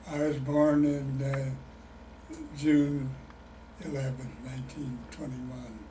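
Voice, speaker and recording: A man speaks very slowly in an American accent, with audible room echo and noticeable background noise around him. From Illinois. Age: 80s+. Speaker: retired chemist, oral history interviewee. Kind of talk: oral history interview. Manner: halting.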